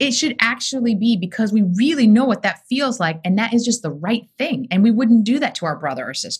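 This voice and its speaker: Somewhat breathy and fairly high-pitched, a woman speaks at a fairly quick pace. Her intonation is lively. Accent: American. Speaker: rabbi. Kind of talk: casual chat.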